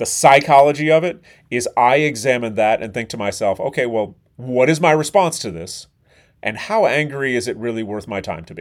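This man talks at a moderate pace in a medium pitch with lively intonation, a plain, everyday voice. The recording is very clean and the background silent. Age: 40s. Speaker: chef and podcast host. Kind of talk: solo podcast monologue.

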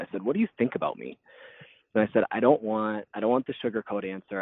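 A man with an American accent talks very fast at a fairly low pitch, with ordinary pitch variation. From northern Wisconsin. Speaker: hunter and article writer. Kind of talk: personal testimony in interview.

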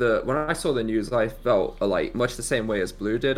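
This man speaks at a fairly quick pace. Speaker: podcast host. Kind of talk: casual chat.

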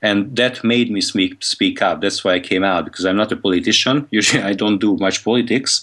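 A man with a Hungarian accent speaks at a fairly quick pace with hardly any pauses, his fairly low pitch showing ordinary variation and very even loudness, on a very clean recording with a silent background. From Hungary. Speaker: conference organizer. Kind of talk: interview.

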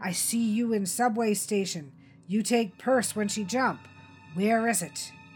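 A woman's put-on character voice, gruff and growling, at medium pitch and a fairly slow pace, with music in the background. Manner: threatening, growling.

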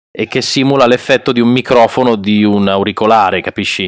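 Heard on a very clean recording with a silent background, a man with an unremarkable speaking voice and medium pitch talks at a moderate pace with fairly even intonation, dry and close with no echo. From Piedmont, Italy (Alessandria). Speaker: voice actor. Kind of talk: casual interview.

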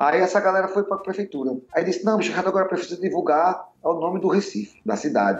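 Over noticeable background noise, a man talks very fast with hardly any pauses, at a high pitch and with fairly even intonation. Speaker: musician and bandleader. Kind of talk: casual interview chat.

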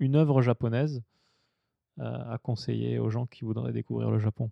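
A man at a medium pitch, speaking at a moderate pace. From southern France. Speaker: podcast host. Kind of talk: interview. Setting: drinking sake during recording.

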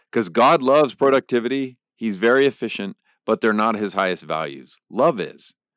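Against a quiet background, a man uses an ordinary speaking voice at medium pitch. His intonation is lively, and his pace is moderate. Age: 50s. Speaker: theology professor and author. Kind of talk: interview conversation.

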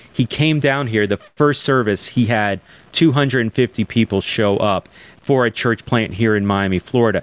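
The sound is dry and close, with no echo. A man speaks at a medium pitch and moderate pace, his pitch varying in an ordinary way. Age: 40s. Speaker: digital church planting director. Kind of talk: interview webcast. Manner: animated.

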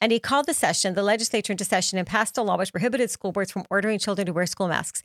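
A woman's medium-pitched voice at a very fast pace with ordinary pitch variation, in a very clean, dry, close recording with no echo and a silent background. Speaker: podcast co-host. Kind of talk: casual political commentary.

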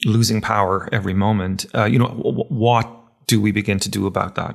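A man with an Irish accent at a moderate pace, fairly even in intonation, on a very clean recording with a silent background. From Ireland. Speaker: podcast host. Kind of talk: interview. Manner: halting, many fillers.

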